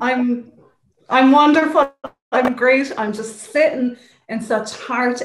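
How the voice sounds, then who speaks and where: A woman with an Irish accent speaks at a fairly slow pace with ordinary pitch variation. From Ireland. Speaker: wellness practitioner. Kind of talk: interview.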